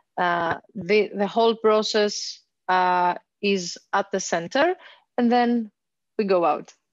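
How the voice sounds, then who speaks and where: Speaking very slowly with a Greek accent, a woman holds a medium pitch with ordinary pitch variation, very even loudness and long, frequent pauses, her sound dry with no echo over a quiet background. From Greece. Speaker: social worker. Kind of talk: presentation; webinar presentation. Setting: video call. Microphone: headset.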